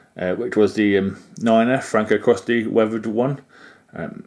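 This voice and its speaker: The recording is very clean, with a silent background. A man speaks in a British accent. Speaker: model railway YouTuber. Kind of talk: product review. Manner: hesitant, many fillers.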